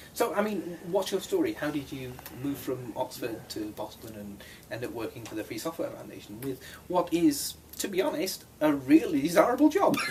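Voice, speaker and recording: A man with an American accent talks at a moderate pace, his loudness swinging widely over noticeable background noise. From California. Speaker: interviewer, software engineer. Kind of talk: interview.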